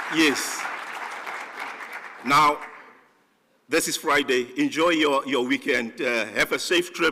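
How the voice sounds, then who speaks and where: Loud and fairly slow, a man speaks with a bright, sharp tone at a fairly high pitch, varying it in an ordinary way. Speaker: conference organizer giving closing remarks. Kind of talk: closing remarks at a conference. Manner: halting, many fillers and restarts.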